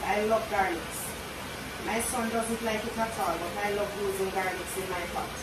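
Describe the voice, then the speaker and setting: Loud background noise and audible room echo accompany a woman speaking at a moderate pace. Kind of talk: casual cooking vlog chat. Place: kitchen.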